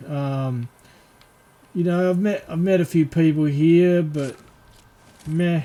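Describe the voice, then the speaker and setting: The speaker has an Australian accent, a very slow pace and ordinary pitch variation. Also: man. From Western Australia, Perth. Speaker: gaming streamer. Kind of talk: casual gaming livestream chat. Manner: hesitant, many fillers.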